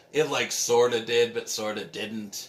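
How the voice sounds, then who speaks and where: Noticeable background noise is present throughout. Through it, this man talks at a fairly slow pace. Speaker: vlogger. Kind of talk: casual vlog monologue. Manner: loud.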